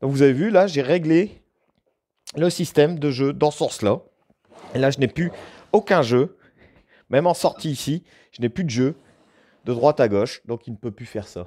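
With a dark, mellow tone, a man speaks with long, frequent pauses and big swings in loudness. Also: moderate pace. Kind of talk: tutorial. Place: workshop.

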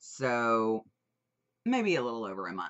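The background stays quiet while this woman talks. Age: 21 or older. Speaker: vaping product reviewer. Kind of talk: casual product review. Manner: animated. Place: home room. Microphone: webcam.

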